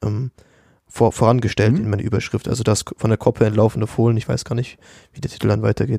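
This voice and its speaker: Very fast and medium in pitch, a man's voice has a dark, mellow tone, vocal fry, fairly even intonation, and a dry, close sound with no echo. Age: 20s. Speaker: university student. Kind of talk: casual academic discussion.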